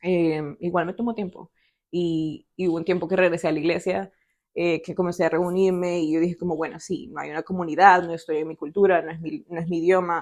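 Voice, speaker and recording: At a fairly quick pace, a woman talks with a fairly low pitch, fairly even intonation and big swings in loudness. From El Salvador. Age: 20s. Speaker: podcast guest sharing faith story. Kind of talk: testimony. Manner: hesitant, many fillers.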